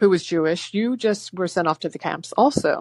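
Against a quiet background, a woman speaks at a fairly low pitch with ordinary pitch variation, the sound dry and close with no echo. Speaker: caller. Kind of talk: phone call-in. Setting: phone call. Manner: fast talker.

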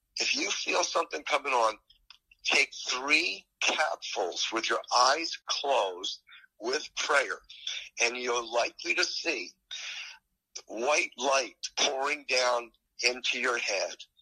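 A man speaks at a very slow pace with long, frequent pauses, the sound dry and close with no echo. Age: 70s. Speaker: doctor and alternative health author. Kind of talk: interview chat. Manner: animated, fervent, hesitant with repeats.

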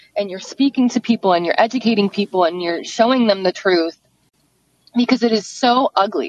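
A woman speaks in a plain, everyday voice at a medium pitch with ordinary pitch variation. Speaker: caller and activist. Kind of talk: personal testimony. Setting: phone call.

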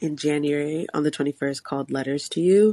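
With a very deep, low pitch, a woman speaks at a moderate pace using fairly even intonation. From Bronx, New York. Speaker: singer-songwriter. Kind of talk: casual interview.

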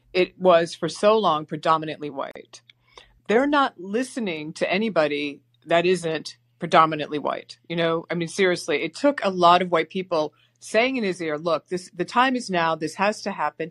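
A woman with an ordinary speaking voice and an American accent speaks at a moderate pace, with lively intonation, a fairly low pitch and a dry, close sound with no echo. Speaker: caller.

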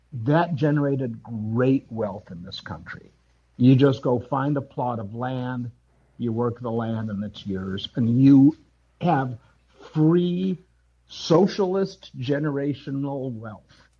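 Speaking at a very slow pace, a man with an American accent uses a medium pitch, a dark, mellow, somewhat breathy tone, lively intonation and big swings in loudness. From US Midwest, Wisconsin (Madison). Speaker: caller. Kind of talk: group discussion. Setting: live audio app call-in.

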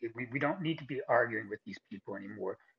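A man's somewhat breathy voice at a fairly high pitch. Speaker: caller. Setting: phone call. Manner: halting.

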